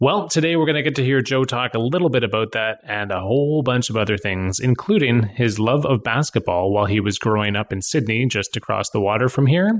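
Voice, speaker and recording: An ordinary speaking voice from a man at medium pitch, fairly quick and with hardly any pauses, with lively intonation. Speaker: podcast host. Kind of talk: podcast intro.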